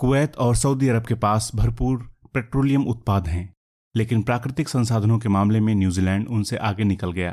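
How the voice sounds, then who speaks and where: A man has an unremarkable speaking voice of medium pitch with ordinary pitch variation. The recording is very clean and the background silent. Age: 50s. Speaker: journalist narrator. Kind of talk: scripted narration.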